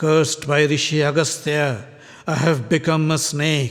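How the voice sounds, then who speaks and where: A man does a put-on character voice that is guttural and hissing, pitched fairly high. He keeps a moderate pace. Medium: audio drama.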